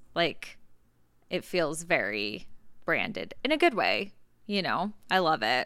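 On a very clean recording with a silent background, a woman with a fairly low, bright, sharp voice and vocal fry speaks at a very slow pace, her pitch swinging very widely between long, frequent pauses. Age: 20s. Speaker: podcast host, beauty business owner. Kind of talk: casual chat.

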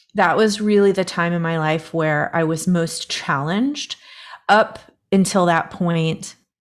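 Fairly low and fairly slow, a woman speaks in an unremarkable speaking voice with ordinary pitch variation. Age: 40s. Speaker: inner voice coach and professional musician. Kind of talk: casual interview.

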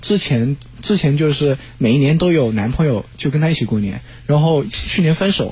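A man's fairly high voice moves at a moderate pace with lively intonation. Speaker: student. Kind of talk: casual chat. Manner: formal.

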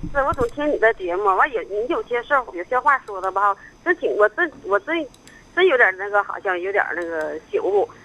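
At a moderate pace, a woman speaks in a high, bright, sharp voice with very wide pitch swings. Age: 50s. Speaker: caller. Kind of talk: phone-in confession.

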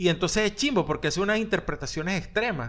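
A man talks very fast, his intonation lively. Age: 40s. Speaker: podcast co-host. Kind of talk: casual chat.

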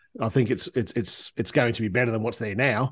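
With an Australian accent, a man speaks at a medium pitch. His intonation is fairly even, and the background is quiet. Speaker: smartphone photographer. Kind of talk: casual chat.

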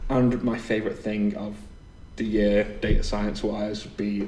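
Noticeable background noise accompanies a man whose fairly low pitch comes with monotone, flat intonation. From northern England. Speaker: podcast host and meetup organiser. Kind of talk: casual chat, podcast.

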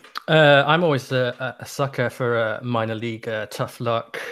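A man's normal speaking voice at medium pitch, fairly slow and fairly even in intonation, on a very clean recording with a silent background. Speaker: baseball podcaster. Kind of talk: casual discussion.

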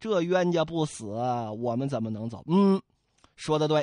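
The tone is animated and playful, set against a quiet background. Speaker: storyteller. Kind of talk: storytelling narration, classic novel told aloud with character voices. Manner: animated, playful and colloquial, with comic asides to the audience.

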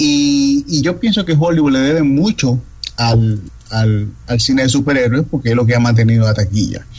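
Against noticeable background noise, a man speaks at a medium pitch and a moderate pace, with ordinary pitch variation and very even loudness. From Dominican Republic. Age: 30s. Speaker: film critic. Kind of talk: interview.

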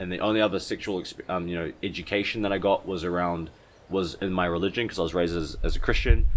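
In a New Zealand accent, a man with a very deep, low pitch talks at a very fast pace with monotone, flat intonation. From New Zealand, West Auckland. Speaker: spiritual teacher and retreat leader. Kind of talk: casual chat. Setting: at his home.

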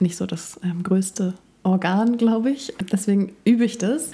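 A woman keeps a moderate pace, her pitch varying in an ordinary way. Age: 30s. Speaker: journalist and yoga teacher. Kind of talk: casual chat.

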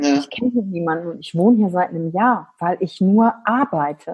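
A woman speaks with lively intonation and a somewhat breathy voice. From western Germany, Wülfrath near Wuppertal. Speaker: business coach and trainer. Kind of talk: interview. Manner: animated.

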